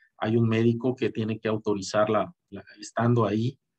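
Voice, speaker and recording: A man's medium-pitched voice comes at a moderate pace with a dry, close sound with no echo. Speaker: boxing commentator. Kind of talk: video commentary monologue. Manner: halting, many repetitions and fillers.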